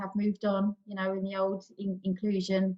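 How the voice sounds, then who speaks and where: A woman of medium pitch with a London accent, somewhat breathy. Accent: estuary English, London and South East. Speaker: panel guest, PR expert. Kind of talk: panel discussion.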